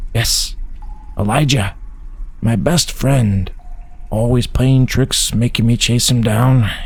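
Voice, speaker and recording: Against noticeable background noise, a man in a put-on character voice speaks at medium pitch and a fairly slow pace, with long, frequent pauses. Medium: read story. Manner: terse, clipped phrases.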